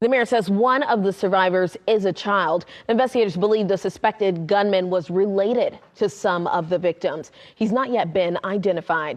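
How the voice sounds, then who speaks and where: A woman's plain, everyday voice with an American accent, medium pitch, ordinary pitch variation, very even loudness and a moderate pace against a quiet background. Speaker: news anchor and reporter. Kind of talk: TV news anchoring and field reporting.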